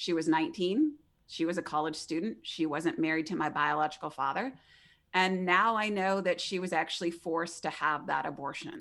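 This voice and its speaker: A plain, everyday voice at a fairly quick pace with ordinary pitch variation, very clean recording and silent background. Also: woman, fairly low pitch for a woman. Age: 40s. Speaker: abortion survivor and advocacy founder. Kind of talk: interview testimony.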